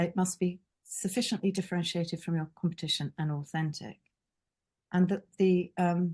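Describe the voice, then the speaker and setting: A woman speaks at a moderate pace in a somewhat breathy, dark and mellow tone, her intonation flat and monotone. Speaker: branding consultant. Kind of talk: webinar presentation. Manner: hesitant, many fillers.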